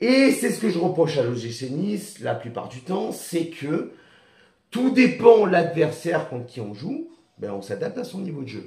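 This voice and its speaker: Talking at a moderate pace in a Niçois accent, a man uses a high pitch with very wide pitch swings and big swings in loudness. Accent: Niçois southern French. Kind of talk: sounds out every letter of acronyms.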